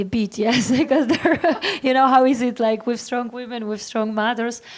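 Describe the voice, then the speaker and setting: Her intonation stays fairly even throughout. The woman's voice comes with noticeable background noise. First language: Polish. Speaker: startup founder panelist. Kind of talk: panel discussion. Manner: halting.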